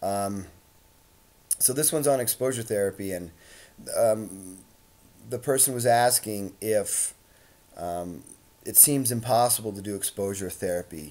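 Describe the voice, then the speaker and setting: With a dark, mellow tone and fairly low pitch, a man speaks fairly slowly with ordinary pitch variation and long, frequent pauses. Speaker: social anxiety coach. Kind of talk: vlog monologue. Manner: hesitant, many fillers.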